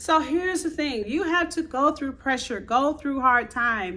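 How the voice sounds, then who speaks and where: A high-pitched woman uses a raised, projected voice with an animated tone and lively intonation. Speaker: motivational video creator. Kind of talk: motivational talk to camera. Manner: loud.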